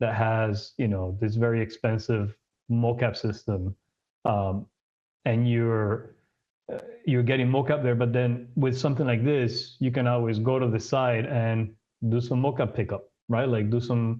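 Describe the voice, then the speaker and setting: Speaking at a fairly slow pace, a man holds a medium pitch and fairly even intonation. His loudness stays very even. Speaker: studio CEO and filmmaker. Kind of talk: workshop presentation with live demo. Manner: halting, many fillers and repeats.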